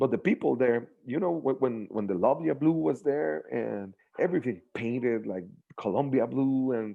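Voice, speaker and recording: With a Spanish accent, a man speaks at a moderate pace and medium pitch using lively intonation. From Mexico. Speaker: sports super fan. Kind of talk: casual interview. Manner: halting.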